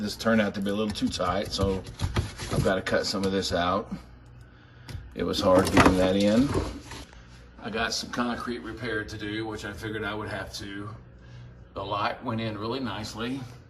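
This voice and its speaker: A man at a moderate pace, fairly low in pitch and fairly even in intonation, with long, frequent pauses, noticeable background noise and audible room echo. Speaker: reptile enclosure builder. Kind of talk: casual build vlog narration. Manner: casual.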